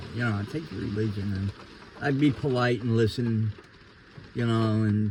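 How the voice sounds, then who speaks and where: Fairly slow, fairly even speech from a man with an American accent at medium pitch, noticeable background noise behind him. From New York City, Queens (Ridgewood). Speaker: interviewee giving life testimony. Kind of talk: testimony.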